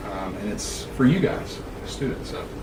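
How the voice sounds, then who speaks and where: Through noticeable background noise and audible room echo, a man speaks with a Southern US accent. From Alabama, US South. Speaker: university student affairs administrator. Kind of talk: interview. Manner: loud; animated.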